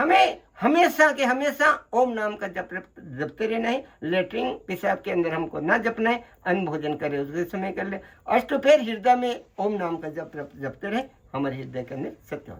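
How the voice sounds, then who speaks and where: A man's high voice with very wide pitch swings and big swings in loudness. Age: 80s+. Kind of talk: interview answer, spiritual advice.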